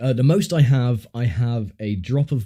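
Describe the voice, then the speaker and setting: In a very clean recording with a silent background, a man with a southern English accent speaks fairly slowly at medium pitch, his dark, mellow tone paired with lively intonation. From southern England. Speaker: gaming streamer. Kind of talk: casual chat. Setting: livestream. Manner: hesitant, filler-heavy.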